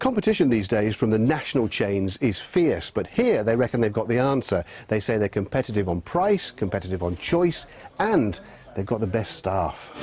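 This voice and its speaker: A man's ordinary speaking voice at a medium pitch and moderate pace, with lively intonation. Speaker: TV news reporter. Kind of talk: TV news report.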